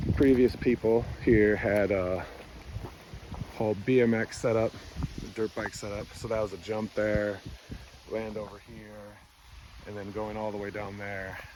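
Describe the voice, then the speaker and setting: At a fairly slow pace, a man talks in a fairly low, monotone voice with long, frequent pauses and big swings in loudness, over noticeable background noise. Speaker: rural homesteader vlogger. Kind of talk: casual walkaround vlog. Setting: outdoors.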